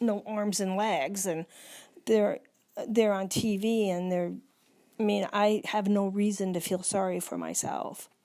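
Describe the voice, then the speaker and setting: This woman's voice sits at a medium pitch, with a dark, mellow tone and fairly even intonation. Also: very clean recording, silent background. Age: 60s. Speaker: person living with Alzheimer's. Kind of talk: casual chat. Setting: at home.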